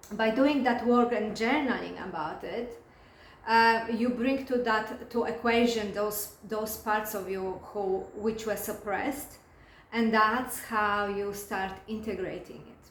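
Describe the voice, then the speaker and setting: Speaking very slowly with a non-native accent, a woman keeps a fairly high pitch and fairly even intonation while her loudness swings widely. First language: not English. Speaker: spiritual coach and hypnotherapist. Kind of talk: casual talk to camera. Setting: recording alone to camera. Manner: halting, many fillers and restarts.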